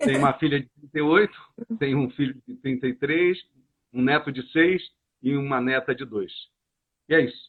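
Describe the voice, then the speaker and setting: Here a man talks at a fairly quick pace. His medium-pitched voice keeps fairly even intonation. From Brazil, Rio de Janeiro. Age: 60s. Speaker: coach and association founder. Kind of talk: interview. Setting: live stream.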